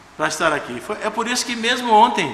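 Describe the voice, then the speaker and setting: Over noticeable background noise and audible room echo, a man speaks at a fairly quick pace in a high pitch. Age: 60s. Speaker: guest pastor. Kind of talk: sermon. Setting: church service. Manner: informal, conversational.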